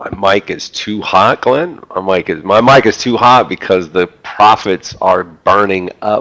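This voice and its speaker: Loud speech moves at a fairly slow pace with hardly any pauses and ordinary pitch variation. The sound is dry and close, with no echo. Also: man, fairly low pitch for a man. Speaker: trading educator. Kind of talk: live trading room stream. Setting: headset mic on live stream. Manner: loud, energetic.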